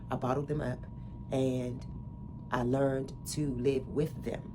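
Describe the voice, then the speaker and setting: Through noticeable background noise and audible room echo, a woman speaks with a very deep, low pitch. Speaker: wellness podcaster. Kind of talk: personal testimony. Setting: home recording. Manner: casual, halting with fillers.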